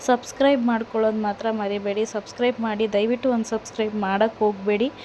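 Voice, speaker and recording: A woman speaks at a fairly high pitch in a monotone, flat intonation. Noticeable background noise runs underneath. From Karnataka, Mandya district (Malavalli area). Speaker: travel vlogger. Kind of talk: travel vlog voiceover.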